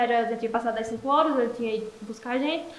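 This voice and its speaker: Amid noticeable background noise and audible room echo, a woman with a high-pitched voice talks at a very fast pace with ordinary pitch variation. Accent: Paraíba. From Brazil, Paraíba (Esperança). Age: 20s. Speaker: entrepreneur, makeup shop owner. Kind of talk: casual interview.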